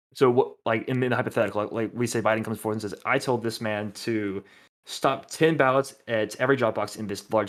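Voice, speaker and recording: A man talks very fast at a medium pitch with fairly even intonation, on a very clean recording with a silent background. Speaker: online debater. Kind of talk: heated debate.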